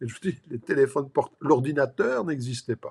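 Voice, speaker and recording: A man with a plain, everyday voice talks at a moderate pace and medium pitch with ordinary pitch variation. The recording is very clean, with a silent background. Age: 60s. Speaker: life and business coach. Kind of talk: motivational talk to camera. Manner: casual, filler-heavy.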